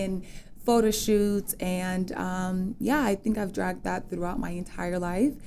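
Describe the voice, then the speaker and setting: Intonation stays fairly even. The pace is moderate. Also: woman. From US Virgin Islands (St. Thomas), Dominican parents, later New York. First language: Spanish. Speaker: entrepreneur, stylist and model. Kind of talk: casual interview chat.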